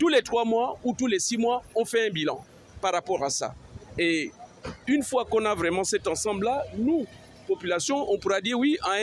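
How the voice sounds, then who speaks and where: A man with a high-pitched voice speaks with lively intonation over noticeable background noise. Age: 60s. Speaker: street interviewee, citizen. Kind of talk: street interview.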